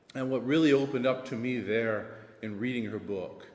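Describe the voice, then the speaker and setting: A man's medium-pitched voice with an American accent, audible room echo around it. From US South. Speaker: assistant principal. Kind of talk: panel discussion.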